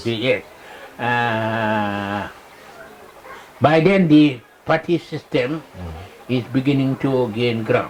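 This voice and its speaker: A man with a medium-pitched voice and ordinary pitch variation speaks at a very slow pace, with long, frequent pauses and noticeable background noise. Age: 80s+. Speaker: veteran politician. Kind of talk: interview answer. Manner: slow, conversational, hesitant.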